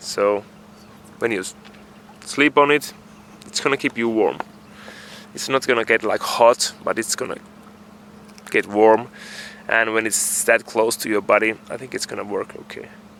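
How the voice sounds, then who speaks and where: A man at a medium pitch and moderate pace, fairly even in intonation, with long, frequent pauses and noticeable background noise. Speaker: sailing vlogger. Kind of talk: casual vlog talk to camera. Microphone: built-in camera mic, poor audio.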